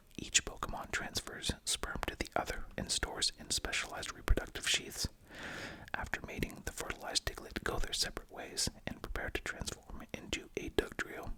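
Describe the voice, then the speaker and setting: Whispering in a soothing tone at a moderate pace, the voice is heard over noticeable background noise. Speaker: ASMR roleplay host playing a veterinary clinician and researcher. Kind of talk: ASMR roleplay lecture, educational, as a veterinary researcher. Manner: whispered, soothing.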